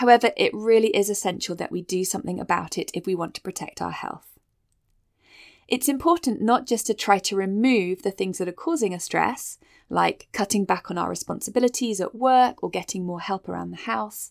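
A woman at medium pitch talks at a fairly quick pace with ordinary pitch variation and vocal fry. The recording is very clean with a silent background and a dry, close sound with no echo. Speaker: health podcast host. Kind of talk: solo podcast monologue, encouraging.

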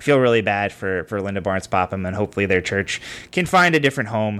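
Speaking at a very fast pace, a man with a fairly low pitch and a bright, sharp tone comes through on a very clean recording with a silent background. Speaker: podcast host. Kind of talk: casual chat. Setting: baby sleeping nearby. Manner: trying to talk quietly.

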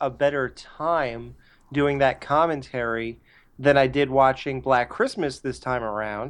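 Someone reads a text aloud. Their voice comes across as natural.

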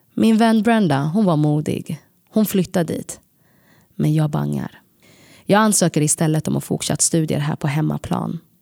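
The sound is dry and close, without any echo. A woman talks at a moderate pace. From Sweden. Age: 30s. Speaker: podcast storyteller. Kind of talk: scripted narration.

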